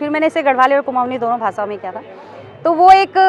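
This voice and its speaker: Noticeable background noise sits behind a woman speaking at a moderate pace. Her voice is high-pitched with lively intonation. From Mumbai. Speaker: folk singer. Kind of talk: interview answer.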